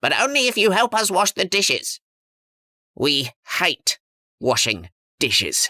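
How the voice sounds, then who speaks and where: A put-on character voice, pitched fairly high, moves along at a moderate pace. Long pauses break it up often. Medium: read story.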